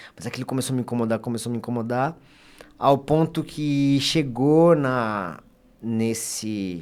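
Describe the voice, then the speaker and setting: This man talks at a fairly slow pace with ordinary pitch variation in a plain, everyday voice. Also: medium pitch for a man. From Brazil, Bragança Paulista (São Paulo state). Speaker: lawyer giving testimony on podcast. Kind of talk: testimony.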